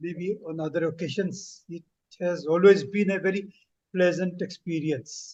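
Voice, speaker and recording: Speaking at a fairly slow pace, a man with a high pitch keeps his intonation fairly even while his loudness swings widely. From Northeast India (Shillong, Meghalaya). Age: 70s. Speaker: motivational speaker and retired banker. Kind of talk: interview.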